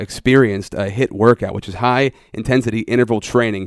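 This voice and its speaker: Dry and close with no echo, a man's voice comes through a very clean recording against a silent background. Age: 30s. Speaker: podcast host. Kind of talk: casual interview; podcast intro. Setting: gym. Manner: animated.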